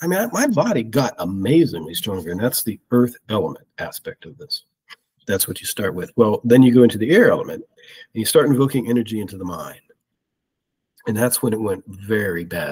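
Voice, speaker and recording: A man's somewhat breathy, medium-pitched voice with an American accent, lively intonation, big swings in loudness and a fairly quick pace. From US Midwest, Ohio. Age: 50s. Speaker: spiritual experiencer. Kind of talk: testimony.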